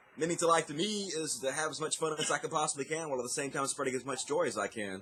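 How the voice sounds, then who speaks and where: Over noticeable background noise, a man talks at a very fast pace. His pitch shows ordinary variation. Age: 30s. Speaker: atheist YouTuber. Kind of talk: interview answer.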